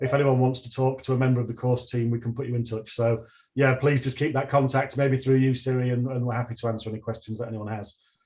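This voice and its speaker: A man talks at a very fast pace in a Northern English accent, with a medium pitch and monotone, flat intonation. His voice has a dark, mellow tone and is somewhat breathy. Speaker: university lecturer. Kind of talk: online presentation and Q&A. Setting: livestream video call. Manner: hesitant, with many repeated words.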